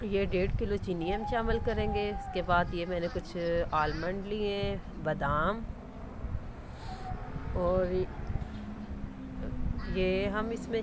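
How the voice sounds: This woman has a fairly low pitch and ordinary pitch variation. Her pace is fairly slow.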